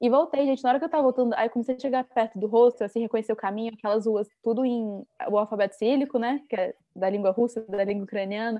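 A woman's fairly high voice, very fast pace and fairly even intonation. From Brazil, Brasília. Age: 20s. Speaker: traveler. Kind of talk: interview.

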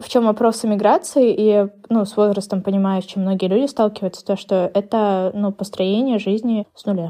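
A woman of medium pitch speaks at a moderate pace in a dark, mellow tone, her intonation fairly even. Her loudness swings widely against a quiet background. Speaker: former English teacher, emigrant to the US. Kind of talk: casual chat.

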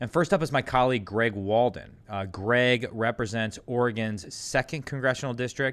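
A man with an unremarkable speaking voice talks at a fairly quick pace with ordinary pitch variation. The recording is very clean, with a silent background. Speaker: congressman hosting podcast interviews. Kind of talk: casual interview.

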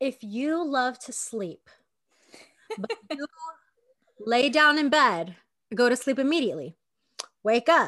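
A woman with a high pitch and a bright, sharp tone speaks loudly at a fairly slow pace, with lively intonation and long, frequent pauses. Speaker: podcast co-host. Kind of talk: casual chat. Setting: video call.

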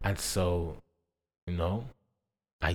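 This man's voice is very deep and low. The recording is very clean, with a silent background. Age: 20s. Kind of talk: personal testimony.

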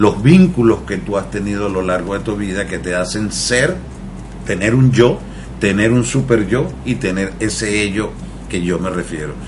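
A man with a fairly low pitch speaks at a moderate pace with lively intonation. Noticeable background noise and audible room echo fill the recording. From Venezuela. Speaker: mental health therapist. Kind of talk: radio interview.

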